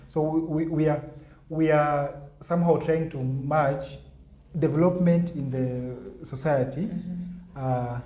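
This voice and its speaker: A man speaking at a very slow pace, with fairly even intonation and noticeable background noise. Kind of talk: interview answer.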